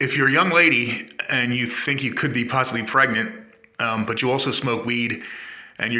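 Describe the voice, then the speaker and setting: A man at medium pitch, with noticeable background noise and audible room echo. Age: 60s. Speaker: vlogger sharing health experience. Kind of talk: personal testimony. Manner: hesitant, many fillers.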